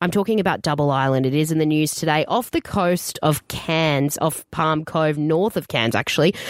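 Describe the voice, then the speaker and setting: A woman with an Australian accent talks very fast at a fairly low pitch, her intonation lively. The sound is dry and close, with no echo. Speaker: radio host. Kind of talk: casual chat.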